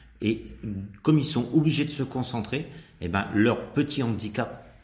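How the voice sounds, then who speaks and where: Audible room echo surrounds the voice. The pace is moderate, and the pitch varies in an ordinary way. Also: man. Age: 50s. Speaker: country dance instructor. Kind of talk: radio interview.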